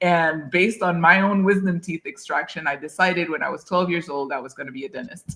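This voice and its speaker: Speaking at a fairly quick pace with hardly any pauses, a woman with a fairly low pitch and a bright, sharp tone shows ordinary pitch variation and big swings in loudness. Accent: French. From Haiti. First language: French. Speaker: dentist. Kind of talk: interview.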